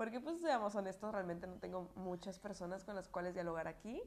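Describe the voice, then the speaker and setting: A woman at a medium pitch speaks with fairly even intonation in a slight Puebla accent. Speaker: podcaster. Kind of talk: casual monologue. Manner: conversational, filler-heavy.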